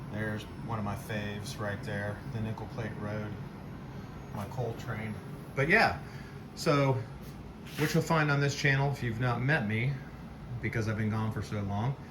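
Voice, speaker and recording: Audible room echo surrounds a man speaking at a fairly slow pace with long, frequent pauses. His relaxed tone sits at medium pitch with ordinary variation. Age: 60s. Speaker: model train hobbyist, video creator. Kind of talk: casual show-and-tell video. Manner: relaxed, with many filler words.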